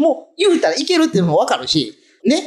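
Over music in the background, a man speaks at a fairly quick pace with an extremely high pitch and very wide pitch swings. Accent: Tosa. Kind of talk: casual radio-style talk.

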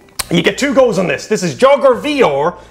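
With an Irish accent and an animated tone, the speaker talks at a fairly slow pace. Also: man. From Ireland. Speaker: YouTuber comedian. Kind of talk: casual banter. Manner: animated, jokey. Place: home room.

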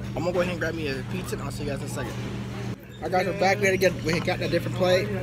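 Clear music sounds behind the speech. The speaker is a man. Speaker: vlogger. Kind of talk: casual vlog chat. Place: cafe. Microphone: phone near.

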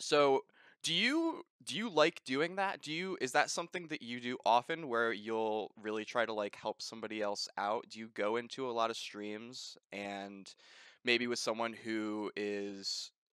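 A man speaks at a fairly slow pace with a fairly bright, clear, smooth tone, recorded dry and close with no echo. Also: medium pitch for a man, ordinary pitch variation.

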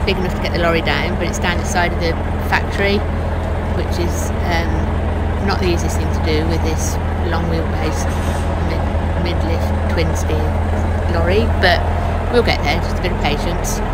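Over loud background noise, the talking moves at a fairly quick pace. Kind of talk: casual vlog chat. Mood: mildly frustrated, patient. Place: car.

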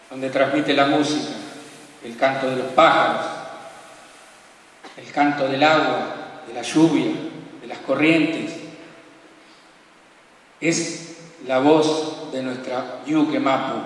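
Amid strong room echo, a man speaks at a very slow pace with long, frequent pauses and a monotone, flat delivery. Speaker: program host. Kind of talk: solemn spoken introduction. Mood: calm, reverent, poetic.

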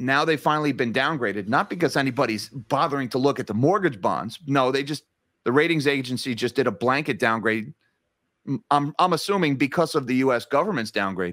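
A man of medium pitch speaks fairly quickly with a New Jersey accent and lively intonation. The sound is dry with no echo over a quiet background. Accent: New Jersey American. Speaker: finance YouTuber. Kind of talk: interview. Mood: concerned, critical. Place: home room.

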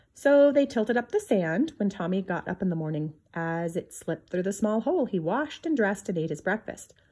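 A woman's fairly quick delivery with hardly any pauses, a dark, mellow tone and very wide pitch swings. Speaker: reader of a children's book. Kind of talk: reading aloud a 1950s children's picture book. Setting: home video recording, book shown to camera. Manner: measured, clear pacing suited to children. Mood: gentle storytelling tone. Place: home room. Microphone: phone near.

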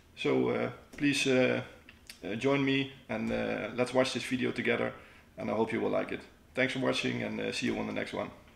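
Moderately paced speech from a man, with audible room echo. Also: long, frequent pauses. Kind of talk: casual vlog chat. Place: home room.

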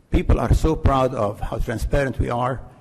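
This man's voice is somewhat breathy, at a medium pitch. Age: 80s+. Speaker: resident speaking at public comment. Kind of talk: public comment at council meeting. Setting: village council meeting. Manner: emphatic.

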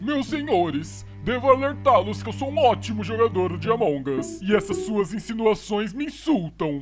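Clear music plays in the background as a man with a high pitch speaks at a moderate pace. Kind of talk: exaggerated aristocratic formality. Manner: pompous, smug, theatrical.

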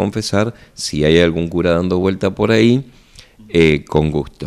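A man's very deep, low voice at a fairly slow pace against a quiet background. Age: 50s. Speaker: parish priest. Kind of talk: radio interview segment with parish announcements. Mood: friendly, calm. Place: office. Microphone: handheld.

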